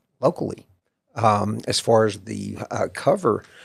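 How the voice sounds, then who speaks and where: This man speaks with a Texas accent. His pace is very slow. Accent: Texas Southern US. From Central Texas. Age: 60s. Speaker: author. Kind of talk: interview. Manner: halting, many fillers.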